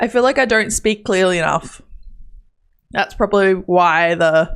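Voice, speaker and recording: An animated woman with an Australian accent mumbles at a fairly slow pace, her medium pitch showing ordinary variation. Her loudness stays very even, and the recording is very clean with a silent background. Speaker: gaming streamer. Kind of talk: live stream chat. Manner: mumbling; casual, animated.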